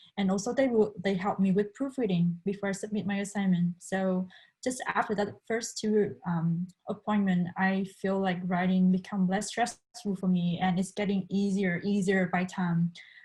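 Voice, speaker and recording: Somewhat breathy and dark, mellow in tone, a woman at a medium pitch speaks at a moderate pace with fairly even intonation and very even loudness. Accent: Vietnamese. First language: Vietnamese. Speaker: international student. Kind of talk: panel discussion.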